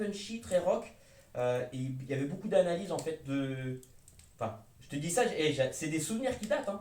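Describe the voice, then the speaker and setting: Audible room echo surrounds a man speaking at a moderate pace. His high pitch makes very wide swings. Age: 30s. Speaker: hi-fi YouTuber. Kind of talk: casual chat; reading aloud. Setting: at home by a fireplace. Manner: animated; loud.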